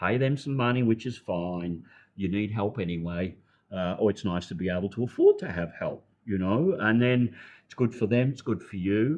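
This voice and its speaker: With an Australian accent, a man talks at a moderate pace in a fairly low pitch with ordinary pitch variation. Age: 70s. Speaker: retired health practitioner, expat. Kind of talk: interview conversation.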